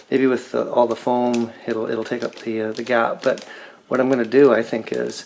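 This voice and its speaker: Fairly even in intonation, a man with an ordinary speaking voice talks at a medium pitch and a moderate speed. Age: middle-aged. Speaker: car restoration hobbyist. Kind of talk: DIY tutorial walkthrough. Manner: casual, many fillers.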